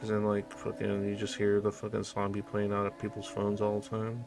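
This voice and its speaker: Over music in the background, a man with an American accent speaks in a fairly low pitch with monotone, flat intonation. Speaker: streamer. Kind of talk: casual chat. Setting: live stream. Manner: rambling casual.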